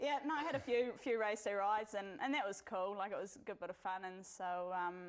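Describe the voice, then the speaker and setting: A woman with a New Zealand accent at a fairly quick pace, over noticeable background noise. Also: medium pitch for a woman, ordinary pitch variation. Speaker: jockey. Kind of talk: casual chat. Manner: fast.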